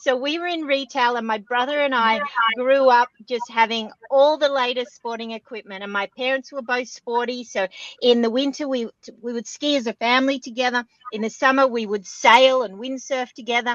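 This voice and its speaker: A woman speaks with an Australian accent at a moderate pace and a high pitch. Her intonation is fairly even, and the sound is dry and close with no echo. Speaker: extreme sports athlete and keynote speaker. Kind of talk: interview podcast.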